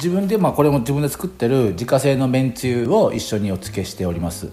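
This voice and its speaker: A man talks at a fairly quick pace with hardly any pauses, his medium-pitched voice dark and mellow in tone and lively in intonation. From Japan, Hiroshima. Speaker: chef. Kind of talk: radio interview. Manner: halting, many fillers.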